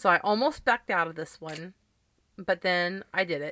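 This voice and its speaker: Bright and sharp in tone, the voice shows ordinary pitch variation in a very clean recording with a silent background, dry and close with no echo. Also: woman. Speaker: podcast host. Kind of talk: casual chat. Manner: loud.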